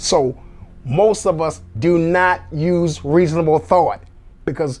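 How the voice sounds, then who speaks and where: With music playing in the background, a man talks very slowly in a high voice with ordinary pitch variation. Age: 60s. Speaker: army veteran, TV show host on veterans benefits. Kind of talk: motivational talk to camera. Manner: animated.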